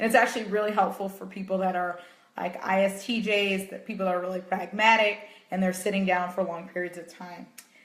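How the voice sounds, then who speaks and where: A woman's medium-pitched, flat monotone at a fairly quick pace, with big swings in loudness, audible room echo and noticeable background noise. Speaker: meditation coach. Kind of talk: live stream talk. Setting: Facebook live video.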